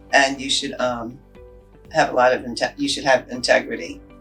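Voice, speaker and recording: Music plays in the background. A woman talks at a fairly quick pace over it. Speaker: city mayor. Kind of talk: interview answer.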